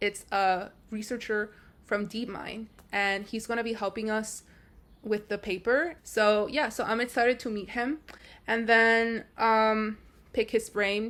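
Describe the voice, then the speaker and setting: Against a silent background in a very clean recording, a woman speaks at a fairly slow pace with fairly even intonation. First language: not English. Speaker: AI research engineer, vlogger. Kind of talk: casual vlog narration.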